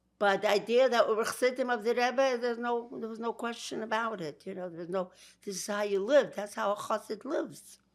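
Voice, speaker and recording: A woman in a Brooklyn accent talks at a fairly quick pace with a fairly high pitch and ordinary pitch variation. Her loudness swings a lot, and the recording is very clean with a silent background. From Georgia, then Brooklyn. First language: Yiddish. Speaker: interviewee. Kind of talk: interview.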